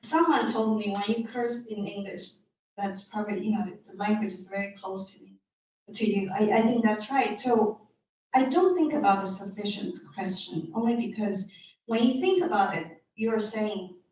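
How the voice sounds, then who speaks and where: A woman's fairly high, somewhat breathy voice in a Chinese accent, at a moderate pace, with ordinary pitch variation and big swings in loudness. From China. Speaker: novelist. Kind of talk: Q&A at book talk. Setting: bookstore event with audience. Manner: halting, repeats words.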